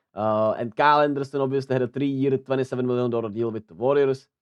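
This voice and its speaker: This is a man speaking. He has a Czech accent. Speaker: sports news youtuber. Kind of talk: casual news commentary. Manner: halting, many fillers.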